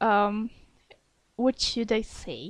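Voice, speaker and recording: Speaking with a non-native accent, a woman talks at a very slow pace. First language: not English. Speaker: ASMR fanfiction reader. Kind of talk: reading aloud; casual chat.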